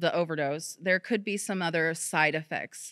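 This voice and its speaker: A woman speaks in a bright, sharp tone at a fairly low pitch, on a very clean recording with a silent background. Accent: American. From Missouri, Poplar Bluff. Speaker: public health educator. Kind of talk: presentation. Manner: casual, conversational.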